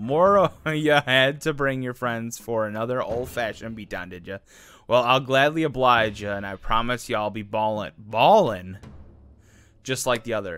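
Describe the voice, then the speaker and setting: A man puts on a gruff character voice at a medium pitch. He keeps a moderate pace. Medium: machinima. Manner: gruff, taunting.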